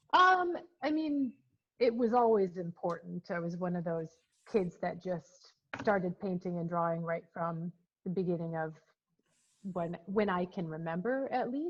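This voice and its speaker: Speaking with an American accent, a woman uses a fairly low pitch and ordinary pitch variation. She leaves long, frequent pauses. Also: moderate pace. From Minnesota, US (early childhood in England). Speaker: painter. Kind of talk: interview.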